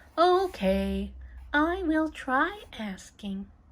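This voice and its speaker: A woman puts on a character voice at a high pitch, recorded very cleanly against a silent background. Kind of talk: read-aloud for children. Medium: read story. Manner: worried, fretful.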